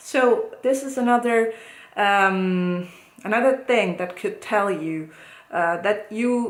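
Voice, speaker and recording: A woman with an Italian accent speaks at a very slow pace with a medium pitch. Her pitch varies in an ordinary way, and room echo is audible. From Italy. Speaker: psychologist. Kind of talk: educational talk to camera. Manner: hesitant, many fillers.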